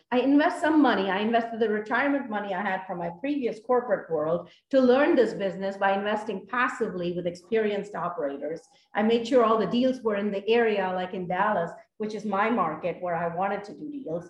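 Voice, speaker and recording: A woman's medium-pitched voice is somewhat breathy. She speaks at a fairly quick pace with lively intonation. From India. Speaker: apartment investor, former engineer. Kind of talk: interview.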